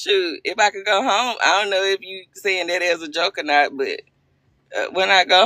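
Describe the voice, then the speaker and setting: A woman with a Southern US accent speaks at a moderate pace in a medium pitch, her tone bright, sharp and animated. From Arkansas. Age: 40s. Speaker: livestream host. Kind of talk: casual chat.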